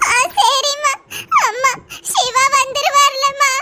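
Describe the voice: A woman does a cartoonish character voice at an extremely high pitch. She speaks very slowly with fairly even intonation.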